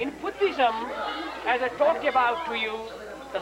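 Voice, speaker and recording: A man talks at a moderate pace in a room with audible echo while crowd noise carries in the background. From Nepal, Kathmandu. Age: 50s. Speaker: tour guide. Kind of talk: guided tour explanation. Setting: outdoors.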